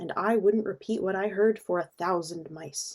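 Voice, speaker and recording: A woman growls through a put-on character voice at medium pitch and a moderate pace. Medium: read story.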